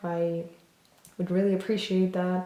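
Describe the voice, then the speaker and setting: With a non-native accent, a woman speaks at medium pitch and a moderate pace. Audible room echo and noticeable background noise are present. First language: not English. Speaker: tarot reader. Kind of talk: tarot reading video. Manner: hesitant, many fillers.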